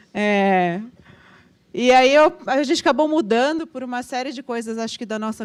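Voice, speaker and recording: A woman talking at a fairly quick pace. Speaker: agile consultant, panel speaker. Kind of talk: talk at a meetup.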